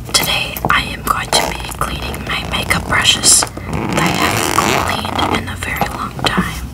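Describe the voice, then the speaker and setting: Whispered speech moves at a fairly slow pace with hardly any pauses over noticeable background noise. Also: woman. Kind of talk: ASMR. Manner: soft-spoken.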